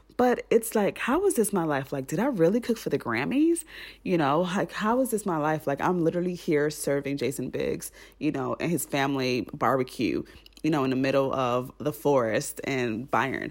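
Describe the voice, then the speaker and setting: Over a silent background in a very clean recording, the speaker uses a South Florida accent and an animated tone, moving at a moderate pace with very wide pitch swings. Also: woman, very deep, low pitch for a woman. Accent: South Florida American. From Miami, Florida (Haitian American). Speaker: podcast host. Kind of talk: casual solo monologue.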